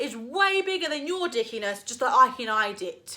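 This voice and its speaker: A woman speaks in a raised, projected voice. Her pitch swings very widely. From East London, England. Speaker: YouTuber. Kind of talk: opinion rant vlog. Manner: animated.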